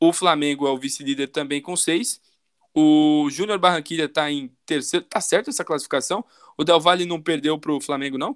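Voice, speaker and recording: A man with a normal speaking voice talks at a moderate pace and fairly high pitch, his intonation fairly even. The sound is dry and close with no echo, on a very clean recording with a silent background. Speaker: football podcast host. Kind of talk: casual chat.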